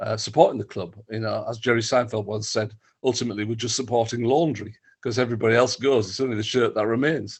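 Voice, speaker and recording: With a Teesside accent, a man talks in a monotone, flat intonation. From northern England (Stockton-on-Tees, Teesside). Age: 60s. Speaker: football writer and author. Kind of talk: interview. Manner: halting, many fillers and repeats.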